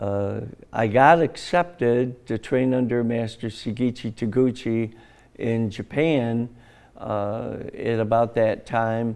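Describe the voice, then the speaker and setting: Speaking very slowly, a man with an American accent holds a medium pitch. His intonation stays fairly even. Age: 70s. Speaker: martial arts grandmaster. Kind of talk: interview.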